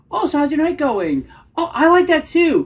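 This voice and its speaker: In a put-on character voice, a woman speaks at a moderate pace, squeaky and extremely high in pitch. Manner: eager, appeasing.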